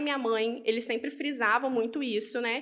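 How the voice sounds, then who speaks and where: A woman talks in a high voice, her pitch varying in an ordinary way as she keeps a moderate pace. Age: 20s. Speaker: business owner and language teacher. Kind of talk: interview.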